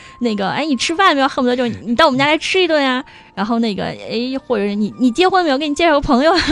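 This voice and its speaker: Amid noticeable background noise, a woman talks at a very fast pace in a high voice with lively intonation. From China. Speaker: online retail buyer living in France. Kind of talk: casual interview.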